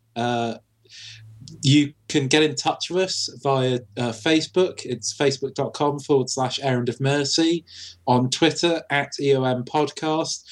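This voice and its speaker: Using fairly even intonation, a man with a fairly high pitch speaks at a fairly slow pace. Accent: British. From Britain. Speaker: podcast co-host. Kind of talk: casual chat.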